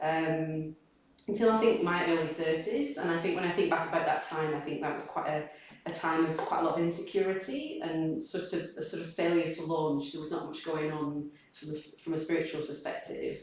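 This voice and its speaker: A woman with a northern English accent, fairly low-pitched and fairly even in intonation, amid audible room echo and noticeable background noise. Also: fairly quick pace. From northern England, Accrington, East Lancashire. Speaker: Buddhist practitioner speaker. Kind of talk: personal testimony talk. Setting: community gathering with small audience. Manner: halting.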